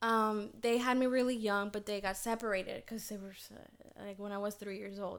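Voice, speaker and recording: A woman with a Spanish accent, fairly high pitch and monotone, flat intonation. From Dominican Republic. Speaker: TV newscaster. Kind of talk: casual chat.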